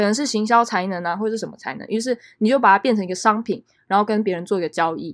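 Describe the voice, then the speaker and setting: With a Taiwanese accent, a woman talks at a very fast pace with a fairly high pitch. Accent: Taiwanese Mandarin. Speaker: podcast host. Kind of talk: solo podcast monologue. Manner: casual, many filler words.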